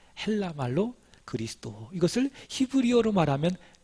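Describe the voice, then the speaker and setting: In a very clean recording with a silent background, a man speaks at a moderate pace, his pitch swinging very widely. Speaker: pastor. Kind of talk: sermon.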